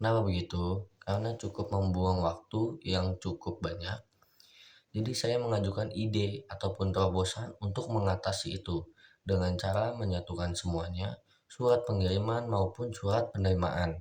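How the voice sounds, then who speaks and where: A man speaks at a moderate pace in a fairly low, somewhat breathy voice. His pitch moves in an ordinary way over a quiet background. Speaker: university student. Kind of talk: mock job interview answers.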